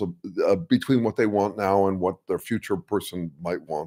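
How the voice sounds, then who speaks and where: A man's normal speaking voice at a moderate pace, on a very clean recording with a silent background. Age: 60s. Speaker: strategic consultant and live-stream host. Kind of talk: casual live-stream talk. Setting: live stream with chat. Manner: many fillers and restarts.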